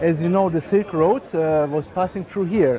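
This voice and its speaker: Crowd noise fills the background as a man with a German accent speaks at a moderate pace. His pitch is high, with ordinary variation. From Germany. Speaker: chef and catering business owner. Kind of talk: guided tour talk. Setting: outdoor market. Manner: halting, many filler words.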